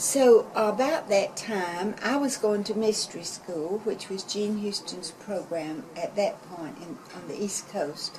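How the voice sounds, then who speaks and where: A woman speaks at a very slow pace, medium in pitch, with lively intonation and big swings in loudness. Noticeable background noise sits behind her. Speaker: community arts organizer. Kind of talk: interview. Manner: hesitant fillers.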